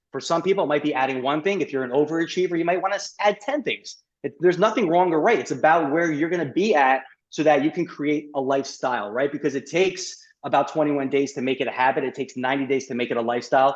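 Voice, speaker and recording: Barely pausing, a man rattles along at a very fast pace with a fairly high pitch and ordinary pitch variation. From New York. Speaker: gut health specialist and chiropractor. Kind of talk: podcast interview.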